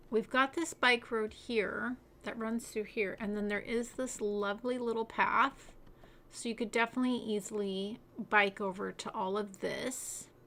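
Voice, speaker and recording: At a moderate pace, a woman speaks in a relaxed, bright, sharp tone, her fairly high pitch carrying fairly even intonation. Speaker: city-building game streamer. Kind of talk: livestream gameplay commentary. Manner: relaxed, casual.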